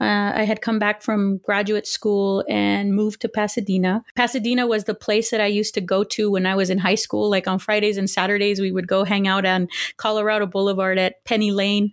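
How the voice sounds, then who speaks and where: In a very clean recording with a silent background, a woman with a Spanish accent speaks at a medium pitch and fairly quick pace, with hardly any pauses, monotone, flat intonation and very even loudness. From Los Angeles area, California. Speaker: historian, professor. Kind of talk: interview.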